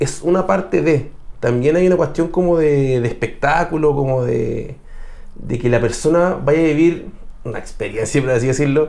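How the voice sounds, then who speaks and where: In a Chilean accent, a man speaks at a moderate pace with audible room echo. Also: fairly high pitch for a man, ordinary pitch variation. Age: 30s. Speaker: metal musician. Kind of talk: casual chat.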